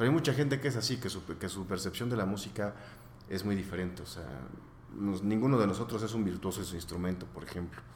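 Audible room echo surrounds a man with a fairly low pitch. He speaks at a very fast pace with lively intonation. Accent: Mexican. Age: 30s. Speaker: rock band member. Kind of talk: casual interview.

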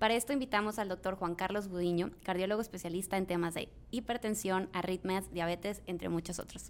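A woman's ordinary speaking voice at medium pitch, fairly quick and with hardly any pauses, with fairly even intonation. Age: young. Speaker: podcast host. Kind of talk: interview.

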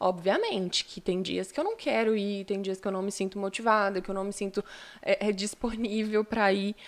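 At a moderate pace, a woman with a fairly high pitch speaks in a normal speaking voice. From São Paulo city, Brazil. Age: 20s. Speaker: model and lawyer. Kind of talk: podcast interview. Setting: live-streamed studio podcast.

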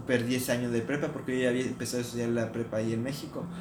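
A man talks at medium pitch, with audible room echo and noticeable background noise in the recording. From Mexico. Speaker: podcast co-host. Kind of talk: casual chat.

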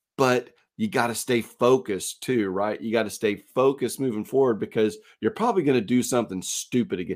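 This is an ordinary speaking voice moving at a fairly quick pace. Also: man, medium pitch for a man, lively intonation, very clean recording, silent background. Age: 50s. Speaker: podcast co-host. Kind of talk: casual chat.

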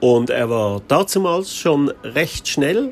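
Very wide pitch swings mark this man's speech. He talks very slowly. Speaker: podcaster on minimalism. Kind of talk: casual monologue. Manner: spontaneous, with many fillers.

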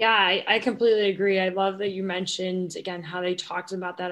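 At a moderate pace, a woman speaks at a medium pitch in a monotone, flat intonation. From Ohio, Cleveland. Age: 20s. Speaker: former college runner. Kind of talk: casual chat.

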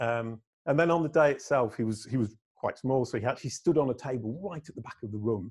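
Talking very fast, a man with a medium-pitched, somewhat breathy voice shows ordinary pitch variation and big swings in loudness. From northern England, Leeds. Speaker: digital marketer and musician. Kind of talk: interview conversation. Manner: animated.

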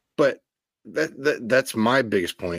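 A man at medium pitch on a very clean recording with a silent background. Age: 30s. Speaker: baseball podcast co-host. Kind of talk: casual chat.

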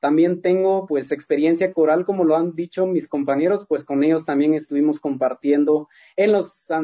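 Using a normal speaking voice, a man with fairly high pitch talks at a moderate pace with fairly even intonation. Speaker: singer in a vocal trio. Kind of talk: interview.

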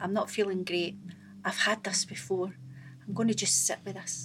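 Somewhat breathy, a woman with a Scottish accent speaks at a moderate pace. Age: 40s. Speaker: stand-up comedian. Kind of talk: casual chat. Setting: studio.

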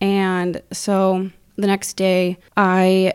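A woman with an Upper Midwest accent speaks at medium pitch in a very clean recording with a silent background and a dry, close sound with no echo. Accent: Upper Midwest American. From US Midwest, Wisconsin. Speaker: accountant and self-described intuitive. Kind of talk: casual chat.

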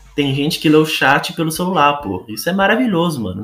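With music in the background, a man speaks using ordinary pitch variation. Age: 20s. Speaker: gaming content creator. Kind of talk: casual monologue podcast.

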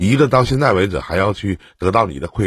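A man is speaking here. His voice comes across as somewhat breathy. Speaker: relationship advice host. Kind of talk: call-in advice chat.

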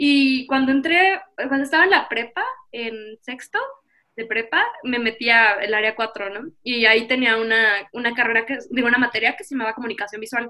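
With ordinary pitch variation, a woman talks in an unremarkable speaking voice that sits fairly high. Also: moderate pace. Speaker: artist and student. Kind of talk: interview. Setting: video call.

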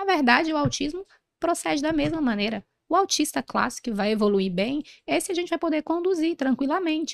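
Her high pitch makes very wide swings at a fairly quick pace. The woman's sound is dry and close with no echo. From northern Brazil, interior of Pará. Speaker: pediatrician. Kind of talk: interview. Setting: event recording in Rio de Janeiro.

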